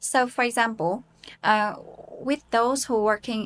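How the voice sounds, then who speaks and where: Against a quiet background, a woman talks at a very slow pace. She speaks with a Vietnamese accent. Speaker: English teacher and IELTS learner. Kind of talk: self-recorded speaking practice with self-review. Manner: hesitant with many fillers.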